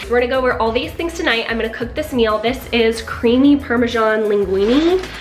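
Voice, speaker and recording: Music plays in the background and there is audible room echo. A woman with a fairly high pitch speaks fairly quickly with ordinary pitch variation. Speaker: mom lifestyle vlogger. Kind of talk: sponsored review and cooking demo.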